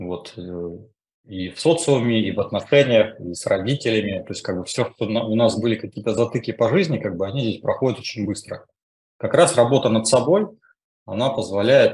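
A man speaks at a medium pitch and moderate pace with lively intonation. His voice is somewhat breathy, with big swings in loudness. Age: 40s. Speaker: coaching school student. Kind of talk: testimony. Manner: halting.

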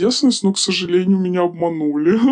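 A woman with a medium pitch. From small town in Russia. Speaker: former escort worker. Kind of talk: interview testimony. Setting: studio.

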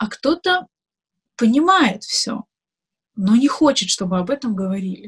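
The sound is dry and close, with no echo. A woman speaks at a fairly slow pace in a somewhat breathy voice. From Dagestan, Makhachkala. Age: 20s. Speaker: blogger and activist. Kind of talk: interview.

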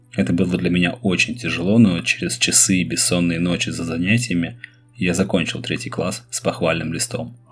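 Through noticeable background noise, a man with a very deep, low voice talks at a moderate pace with lively intonation. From Russia, Saint Petersburg. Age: 30s. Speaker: podcast host and schoolteacher. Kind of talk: personal storytelling monologue.

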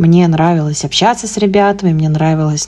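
This is a woman's voice. Noticeable background noise can be heard. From Russia, Moscow. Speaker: English teacher and podcast host. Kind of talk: solo podcast monologue.

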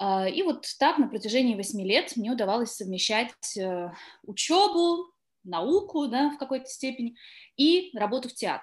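Against a quiet background, a woman speaks at a moderate pace in a high voice with very wide pitch swings and long, frequent pauses. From southern Russia, Taganrog. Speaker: actress. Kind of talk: interview.

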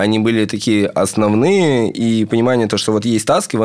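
A man talks at a moderate pace in an ordinary speaking voice, his pitch medium. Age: 20s. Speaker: student software developer. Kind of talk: casual chat. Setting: studio.

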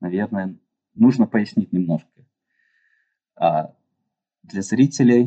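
In a dry, close sound with no echo, a man with a dark, mellow tone talks at a fairly slow pace, his pitch swinging very widely. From Russia, Yekaterinburg. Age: 30s. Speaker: structural engineer. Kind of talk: interview. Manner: hesitant, many fillers.

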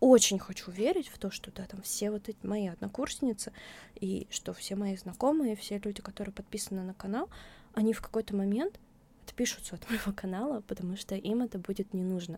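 A woman speaks at a fairly quick pace in a somewhat breathy, medium-pitched voice with ordinary pitch variation. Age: 20s. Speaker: blogger, author of a mental health channel. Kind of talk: interview, casual chat. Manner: halting, many fillers.

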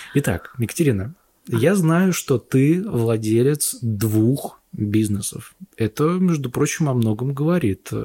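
Here a man talks at a very slow pace, somewhat breathy, with a dark, mellow tone. His intonation is lively while his loudness stays very even. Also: medium pitch for a man. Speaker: podcast host and video editor. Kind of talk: casual chat.

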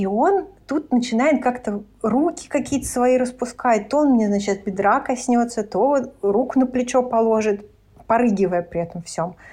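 At a moderate pace, a woman talks with a high pitch, lively intonation and a dark, mellow tone. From Lithuania. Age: 30s. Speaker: podcast guest. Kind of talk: casual chat.

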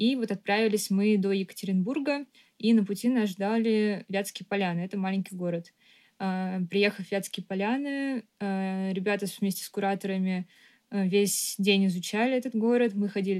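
A woman with a normal speaking voice, medium pitch and ordinary pitch variation at a moderate pace. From Moscow, Russia. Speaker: architect and artist. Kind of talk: casual chat.

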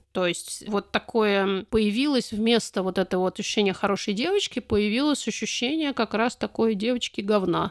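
Heard in a very clean recording with a silent background and a dry, close sound with no echo, a woman uses a plain, everyday voice, fairly high in pitch with ordinary pitch variation, at a moderate pace with hardly any pauses and very even loudness. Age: 40s. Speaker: activist and podcast co-founder. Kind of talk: interview.

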